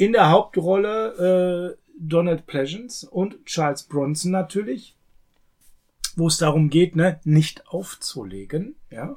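A man with a high pitch speaks at a very slow pace. His pitch variation is ordinary. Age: 40s. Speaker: film podcast co-host. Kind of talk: casual chat.

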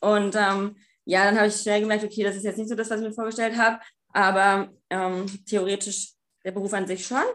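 At a fairly quick pace, a woman speaks at medium pitch with monotone, flat intonation. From Germany, small town. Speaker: escort agency owner and student. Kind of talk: interview. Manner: hesitant, many filler sounds.

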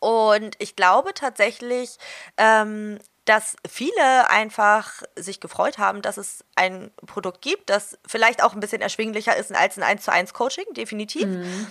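A woman speaks fairly slowly in a fairly high, bright, sharp tone with ordinary pitch variation and big swings in loudness. The recording is very clean with a silent background, and the sound is dry and close with no echo. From northern Germany, Hamburg. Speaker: dog trainer. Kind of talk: interview.

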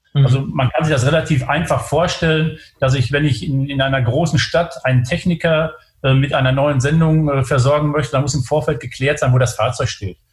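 A man's fairly high, somewhat breathy voice at a fairly quick pace, with fairly even intonation and very even loudness. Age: 50s. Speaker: logistics company executive. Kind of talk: interview. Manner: halting, many filler sounds.

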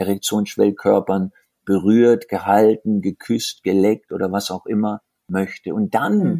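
Dry and close with no echo, a man's dark, mellow tone sits at a fairly low pitch. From southern Germany, rural. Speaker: tantra workshop leader. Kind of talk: interview. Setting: remote call. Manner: animated.

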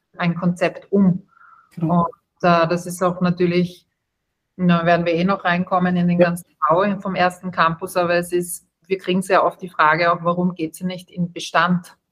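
At a moderate pace, a woman speaks in a somewhat breathy, flat monotone. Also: fairly low pitch for a woman. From Austria. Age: 30s. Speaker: startup co-founder, hospitality background. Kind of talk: interview.

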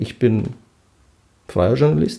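A man talks at a moderate pace in a dark, mellow tone with vocal fry. His pitch swings very widely. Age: 40s. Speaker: journalist. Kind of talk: casual interview. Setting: office, creaking leather chairs. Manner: hesitant, many fillers.

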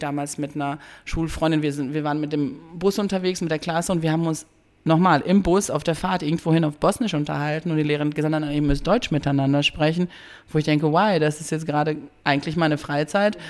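A woman speaks at a very fast pace. Her pitch is very deep and low, with fairly even intonation. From Bosnia, raised from youth in Dortmund. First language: Bosnian (speaking German). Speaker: educator, cultural centre worker. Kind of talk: interview conversation.

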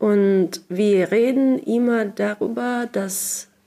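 A woman speaks at medium pitch in a dark, mellow tone. Her pitch varies in an ordinary way. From Russia, Sakhalin island. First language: Russian (speaking German). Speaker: writer and translator. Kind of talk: interview. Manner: halting, many fillers.

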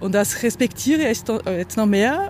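Lively intonation from a woman, with noticeable background noise. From Brazil. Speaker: choreographer and dancer. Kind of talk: interview.

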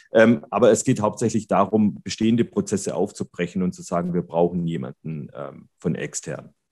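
A man's fairly low voice with vocal fry, lively intonation and big swings in loudness, at a moderate pace with hardly any pauses. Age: 40s. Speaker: occupational safety company manager. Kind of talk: interview. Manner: hesitant, many filler sounds.

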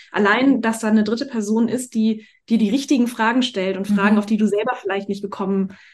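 Speech comes at a moderate pace, with fairly even intonation. There is a somewhat breathy quality to the voice. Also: woman. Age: 40s. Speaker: life and business coach, actress. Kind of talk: casual interview chat.

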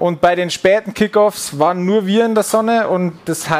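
Noticeable background noise behind a man talking at a fairly slow pace. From Bavaria, Upper Palatinate (Furth im Wald). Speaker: American football player. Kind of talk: casual chat while cooking. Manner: halting, many fillers.

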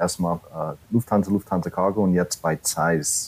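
With a dark, mellow tone and an American accent, a man speaks at a fairly slow pace with fairly even intonation. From US, New York City. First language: English (speaking German). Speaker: corporate training manager. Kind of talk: podcast interview. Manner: halting, many fillers.

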